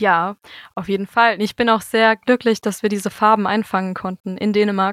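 A woman has an ordinary speaking voice at medium pitch, with fairly even intonation and a moderate pace. The sound is dry and close, with no echo. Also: very clean recording, silent background. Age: 20s. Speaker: musician and music teacher. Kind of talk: interview.

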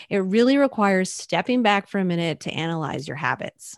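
With an ordinary speaking voice, a woman at medium pitch uses lively intonation at a moderate pace, in a dry, close sound with no echo. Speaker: content marketing coach. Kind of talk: casual podcast chat.

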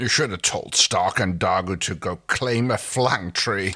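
A man's put-on character voice, pitched fairly low. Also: moderate pace. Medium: read story. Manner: haughty, imperious, impatient.

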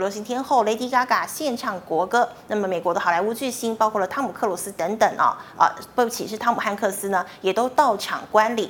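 Noticeable background noise accompanies a woman talking in a medium pitch. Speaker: financial news show host. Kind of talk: news reading.

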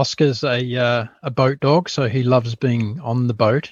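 The speaker has a New Zealand accent and fairly even intonation. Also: man. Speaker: podcast founder, former corporate executive. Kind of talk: interview. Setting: remote call from a boat.

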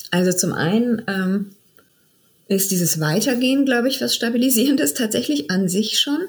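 A woman's somewhat breathy voice. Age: 40s. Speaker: midwife turned funeral director. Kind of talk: interview conversation.

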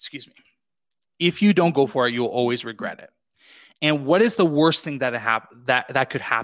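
In a Canadian accent, a man with a fairly high pitch speaks at a moderate pace with lively intonation, big swings in loudness and long, frequent pauses, on a very clean recording with a silent background. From western Canada (British Columbia). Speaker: podcast producer and entrepreneur. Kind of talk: interview conversation. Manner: animated.

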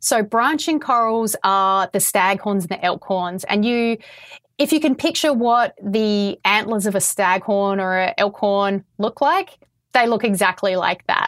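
Over a very clean, silent background, a woman with an Australian accent speaks at medium pitch and a fairly slow pace with lively intonation. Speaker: coral restoration scientist. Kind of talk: interview about coral reef restoration. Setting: Florida, Summerlin Key.

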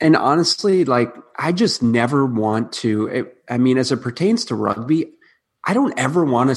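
A man with a plain, everyday voice, medium pitch, lively intonation and an American accent, at a moderate pace. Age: 30s. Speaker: nutritionist and rugby player. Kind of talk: casual interview.

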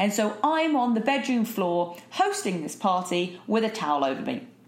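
A woman with a British accent, medium pitch, lively intonation and a moderate pace, over noticeable background noise. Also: hardly any pauses. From southern England, Eastbourne. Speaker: podcast host. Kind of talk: solo monologue. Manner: animated.

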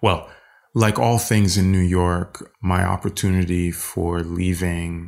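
In a French accent, a man talks with a very deep, low pitch. His pace is fairly slow and his intonation fairly even. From Haiti, raised in the US. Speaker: conceptual and visual artist. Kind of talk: casual interview. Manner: halting.

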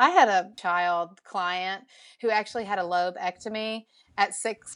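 A woman speaks at medium pitch in a Southern US accent. Her pitch varies in an ordinary way against a quiet background. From Alabama, US South. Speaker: parenting researcher and social media educator. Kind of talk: casual interview chat.

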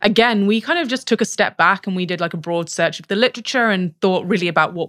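A woman with a British accent speaks at medium pitch with lively intonation, big swings in loudness and hardly any pauses, on a very clean recording with a silent background and a dry, close sound with no echo. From Britain. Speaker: research scientist. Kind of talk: casual interview chat.

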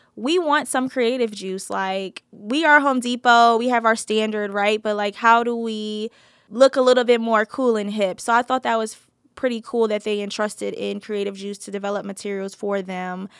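At a moderate pace and with fairly even intonation, an unremarkable speaking voice with an American accent comes through a very clean recording, dry and close with no echo against a silent background. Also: woman. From New Jersey. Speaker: creative agency founder. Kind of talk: interview.

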